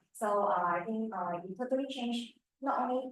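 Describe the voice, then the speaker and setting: A woman with a Cantonese accent speaks in a fairly high voice. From Chinese, Cantonese-speaking. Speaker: club member. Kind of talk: casual club introduction. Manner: halting.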